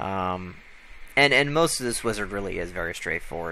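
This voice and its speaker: Speaking in an American accent, a man delivers his words at a very fast pace. Room echo is audible. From United States. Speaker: tech tutorial maker. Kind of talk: tutorial. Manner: casual, with many fillers.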